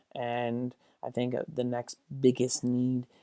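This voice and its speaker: A man's medium-pitched voice with a dark, mellow tone, an American accent and flat, monotone intonation. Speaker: sports YouTuber. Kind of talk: casual commentary. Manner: soft-spoken.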